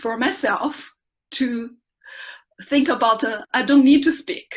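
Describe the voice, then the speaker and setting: A woman with a Chinese accent speaks at a high pitch with lively intonation. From China. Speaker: research scientist giving first club speech. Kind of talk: prepared speech. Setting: speaking club meeting. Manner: halting.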